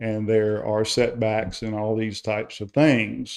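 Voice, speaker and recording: A man with a Carolina accent. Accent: local Carolina. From South Carolina. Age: retired. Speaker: public commenter at town council meeting. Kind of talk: public comment. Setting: town council meeting.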